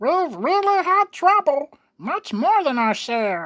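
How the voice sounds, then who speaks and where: Rather slow, extremely high-pitched character voice put on by a man. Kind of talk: audiobook reading with character voices. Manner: pleading.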